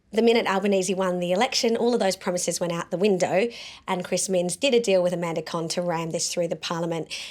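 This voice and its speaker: An animated woman with an Australian accent, medium pitch, a very fast pace and a very clean recording with a silent background. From South Australia. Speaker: pro-life activist and show host. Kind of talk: political commentary vlog.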